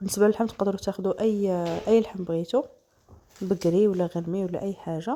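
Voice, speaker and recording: Fairly even intonation and a fairly quick pace carry a dark, mellow tone. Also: woman, medium pitch for a woman. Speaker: cooking channel host. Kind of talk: cooking tutorial.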